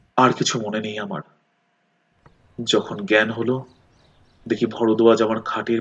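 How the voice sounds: The voice has a fairly bright tone with a slightly husky edge and moves at a moderate pace. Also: man.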